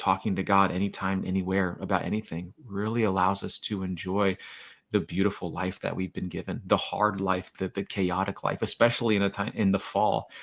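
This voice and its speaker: On a very clean recording with a silent background, a man with an American accent talks at a fairly quick pace in a fairly low pitch with monotone, flat intonation. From Florida. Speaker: children's author and poet. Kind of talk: podcast interview. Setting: podcast. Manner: fast.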